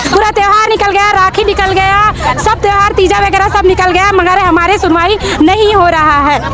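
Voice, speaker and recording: A raised, projected voice with a Chhattisgarh accent keeps very even loudness, fairly even intonation and a moderate pace. Audible room echo and crowd noise fill the background. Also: woman, extremely high pitch for a woman. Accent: Chhattisgarhi. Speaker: community health worker protester. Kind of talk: protest statement.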